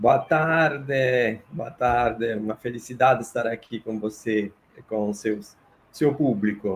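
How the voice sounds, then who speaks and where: Speaking very slowly, the man holds a medium pitch. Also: ordinary pitch variation. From Italy, Naples. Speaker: political science professor. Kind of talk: interview.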